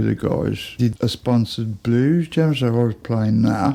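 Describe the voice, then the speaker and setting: With a Birmingham accent, a man talks at a moderate pace in a medium pitch with a dark, mellow tone. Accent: Birmingham (Brummie) English. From Birmingham, England. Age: 60s. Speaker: musician. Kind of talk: casual chat. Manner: informal, rambling with fillers.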